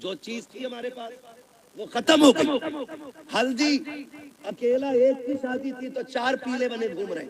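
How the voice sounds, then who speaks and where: A man talks in an extremely high pitch with a passionate tone. His loudness swings widely, while his pitch variation is ordinary. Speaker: Islamic scholar giving a sermon. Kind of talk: Islamic reformist sermon (bayan). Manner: passionate, scolding, humorous.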